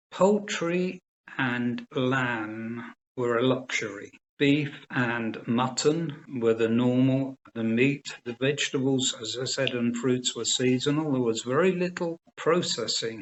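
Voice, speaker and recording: A man with a southern English accent, medium pitch and ordinary pitch variation, at a very slow pace. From England, Cambridgeshire area. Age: 70s. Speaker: organic farming advisor. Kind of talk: interview.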